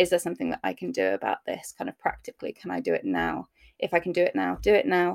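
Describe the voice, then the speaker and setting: A woman with a British accent talks at a very fast pace, with a dry, close sound and no echo. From UK. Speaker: maternal mental health therapist. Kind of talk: interview.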